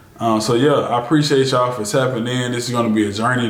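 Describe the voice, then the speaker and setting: A man speaks very fast at a medium pitch, with audible room echo and noticeable background noise throughout. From US South, Birmingham, Alabama. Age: 20s. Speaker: YouTuber, e-commerce store owner. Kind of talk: casual Q&A vlog.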